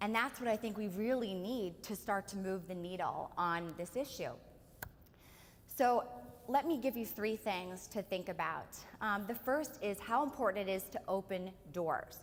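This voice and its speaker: With an American accent, a woman at medium pitch speaks with lively intonation. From Pennsylvania, US. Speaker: author and speaker. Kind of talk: keynote speech at book launch. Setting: hotel event with live audience. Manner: fast.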